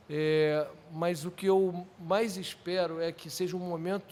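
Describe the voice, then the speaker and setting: His pitch is high for a man, and the intonation stays fairly even. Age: 60s. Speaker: sports project manager, former volleyball player. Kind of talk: podcast interview.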